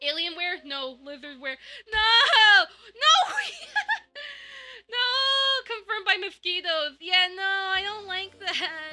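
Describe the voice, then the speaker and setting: Raising and projecting her voice, a woman speaks very slowly at an extremely high pitch in a bright, sharp tone, with lively intonation, big swings in loudness and long, frequent pauses. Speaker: vtuber streamer. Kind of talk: casual live stream chat. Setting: home streaming room. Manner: loud at times; rambling, many fillers. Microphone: new audio settings, expander and limiter filters.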